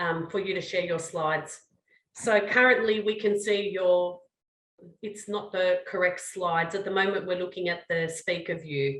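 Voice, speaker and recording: A woman with an Australian accent speaks at a fairly slow pace, her medium pitch holding fairly even intonation. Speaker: research director and webinar moderator. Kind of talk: webinar moderation.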